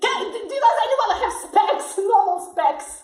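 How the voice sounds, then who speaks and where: A woman puts on a squeaky character voice at an extremely high pitch, with lively intonation. She speaks at a fairly slow pace, and there is slight echo. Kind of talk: comic improv acting. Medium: stage play. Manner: blunt, cranky.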